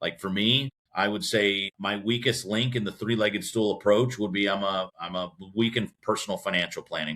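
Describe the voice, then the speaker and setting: A man speaks with a Midwestern American accent. His tone is bright and sharp. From US Midwest, Cleveland, Ohio. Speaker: business association president. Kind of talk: podcast interview.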